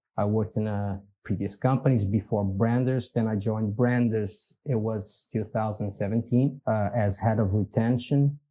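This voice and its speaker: With a Portuguese accent, a man speaks in a dark, mellow tone at a fairly low pitch. He keeps a moderate pace with hardly any pauses, on a very clean recording with a silent background. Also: fairly even intonation. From Portugal. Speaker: business executive. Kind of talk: podcast interview. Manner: halting, many fillers.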